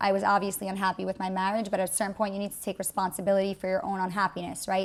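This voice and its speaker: This woman talks in a New York accent. Her pitch sits in the medium range. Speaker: artist. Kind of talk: interview. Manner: fast.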